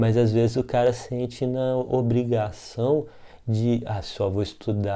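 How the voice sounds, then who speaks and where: A man speaks in a dark, mellow tone at a medium pitch. His intonation stays fairly even. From Brazil, Minas Gerais. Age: 40s. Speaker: art teacher. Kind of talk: casual talk.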